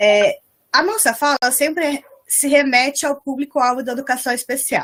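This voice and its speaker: This is a woman speaking. Her pitch is high. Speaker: special education researcher and lecturer. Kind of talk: online lecture. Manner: fast.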